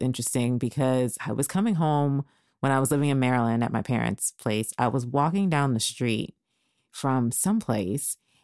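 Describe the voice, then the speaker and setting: A woman with a very deep, low pitch speaks in an animated tone at a moderate pace. Her pitch varies in an ordinary way on a very clean recording with a silent background. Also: very even loudness. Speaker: podcast host. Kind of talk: casual chat.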